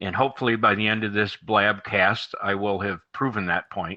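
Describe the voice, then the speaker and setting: A man's medium-pitched voice with a bright, sharp tone, ordinary pitch variation and a slight Midwestern accent, over a quiet background. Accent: slight Midwest. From US, moved around. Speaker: marketing guest. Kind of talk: casual chat.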